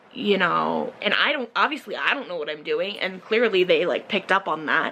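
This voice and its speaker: Lively intonation marks the speech. Background noise is noticeable throughout. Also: woman, medium pitch for a woman. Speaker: vlogger. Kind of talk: casual chat. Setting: alone talking to a camera.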